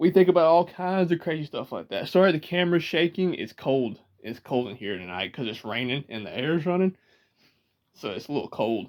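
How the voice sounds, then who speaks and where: On a very clean recording with a silent background, a man speaks with a Georgia accent at a fairly high pitch. His pitch swings very widely and his loudness shifts a lot. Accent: Georgia southern drawl. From US South, Georgia. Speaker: vlogger. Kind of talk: casual chat. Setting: indoors, rocking in a chair, self-filmed.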